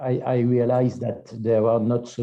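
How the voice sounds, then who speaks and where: With a French accent, a man talks fairly slowly at medium pitch. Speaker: seminar moderator. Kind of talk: academic seminar discussion. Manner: halting.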